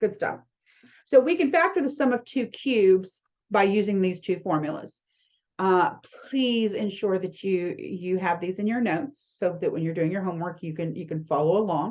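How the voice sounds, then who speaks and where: A woman with an ordinary speaking voice and medium pitch uses lively intonation at a moderate pace. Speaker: math instructor. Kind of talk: lecture.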